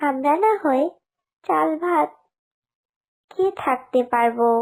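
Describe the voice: A woman puts on a cartoonish character voice at a high pitch with vocal fry. She speaks at a slow pace with lively intonation.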